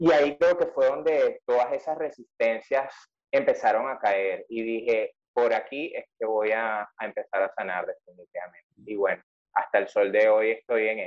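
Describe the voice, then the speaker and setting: In a dry, close sound free of echo, the man talks at a moderate rate. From Venezuela. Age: 30s. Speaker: journalist and writer. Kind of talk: interview conversation.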